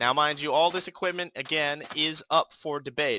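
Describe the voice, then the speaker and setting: A man talks at a fairly quick pace in a bright, sharp tone with a fairly high pitch and ordinary pitch variation. The recording is very clean with a silent background and a dry, close sound with no echo. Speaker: gaming youtuber. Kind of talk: gameplay commentary. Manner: mumbling; casual, hesitant with fillers.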